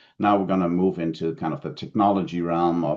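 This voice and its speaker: A man with a German accent speaks at a fairly quick pace. His pitch is very deep and low. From Germany. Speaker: telehealth consultant, keynote speaker. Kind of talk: conference keynote presentation. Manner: frequent fillers and self-corrections.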